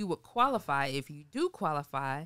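With a South Carolina accent, a woman speaks at a moderate pace in a bright, sharp tone against a quiet background. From Sumter, South Carolina. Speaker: mortgage lender and photographer; guest. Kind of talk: interview. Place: studio. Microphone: studio mic.

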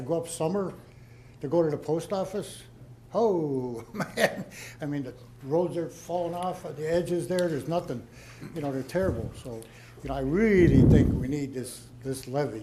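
At a moderate pace, a man speaks with long, frequent pauses, a fairly high pitch and ordinary pitch variation, his tone dark, mellow and somewhat breathy. Audible room echo surrounds his voice. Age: 70s. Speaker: resident at town meeting. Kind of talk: public Q&A. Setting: town hall meeting.

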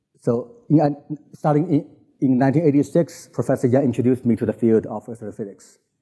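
With a Chinese accent, a man speaks in a dark, mellow tone at a medium pitch with ordinary pitch variation. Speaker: physicist giving invited talk. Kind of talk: lecture. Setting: conference stage with audience. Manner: halting, many fillers.

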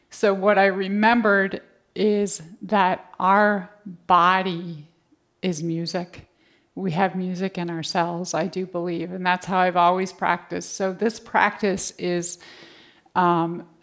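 Monotone, flat intonation at a fairly slow pace over a quiet background. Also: woman. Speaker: yoga teacher. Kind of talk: class instruction. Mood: calm, warm. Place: home room.

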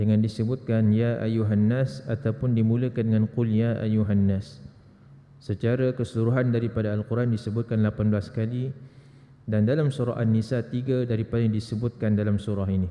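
At a moderate pace, a man with a plain, everyday voice and a medium pitch keeps fairly even intonation and very even loudness. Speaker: religious teacher. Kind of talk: lecture. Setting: mosque prayer hall.

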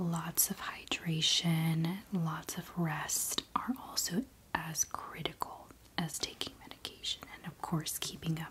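A soft-spoken woman talks at a fairly slow pace, with noticeable background noise behind her. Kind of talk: soft personal-attention role-play chat. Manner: soft-spoken, hushed ASMR voice. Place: home room.

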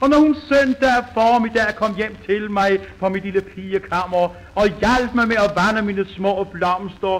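A man talks at a very slow pace in a high voice. Noticeable background noise sits behind him. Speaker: comedian. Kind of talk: comic monologue. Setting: old gramophone recording.

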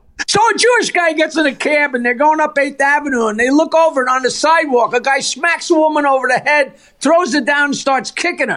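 An extremely high-pitched male voice, raised and projected, bright and sharp in tone, with ordinary pitch variation, very even loudness, and a fairly quick pace. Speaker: comedian. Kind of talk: joke telling. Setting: phone call.

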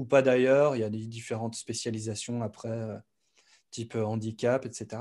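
With a dark, mellow tone, a man speaks at a moderate pace with ordinary pitch variation over a quiet background. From eastern France, Besançon; France. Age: 30s. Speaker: music producer and YouTube educator; YouTube educator. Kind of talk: casual interview. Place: home room. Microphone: studio mic.

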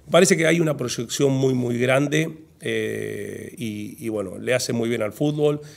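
Speaking at a fairly slow pace, a man varies his pitch in an ordinary way. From Argentina, Santa Fe province (Humberto Primo area); Santa Fe, Argentina. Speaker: football federation president; guest. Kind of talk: casual interview. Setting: in-person conversation over coffee. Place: studio. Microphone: studio mic.

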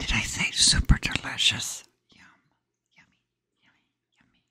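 The voice is whispering, keeping a moderate pace throughout. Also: woman. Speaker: ASMR creator. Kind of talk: ASMR eating video, casual talk to camera. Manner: whispered, relaxing. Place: home room. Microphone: studio mic.

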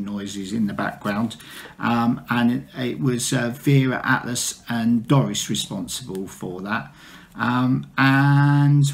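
Ordinary pitch variation from a male speaker. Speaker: knitting vlogger. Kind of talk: casual vlog chat. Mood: relaxed, chatty. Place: home room. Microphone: phone near.

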